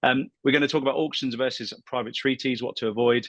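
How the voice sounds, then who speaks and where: A man speaks with a British accent against a quiet background. The sound is dry and close, with no echo. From UK. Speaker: property buyer's agent. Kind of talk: professional webinar presentation.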